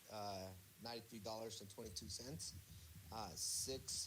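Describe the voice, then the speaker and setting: Audible room echo surrounds a man speaking at a fairly slow pace with ordinary pitch variation. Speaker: student. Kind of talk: reading numbers in class. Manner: stutter; halting.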